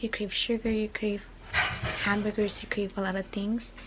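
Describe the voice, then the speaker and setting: A quiet woman's voice, fairly high in pitch, with monotone, flat intonation. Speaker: vlogger. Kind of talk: casual vlog monologue. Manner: fast.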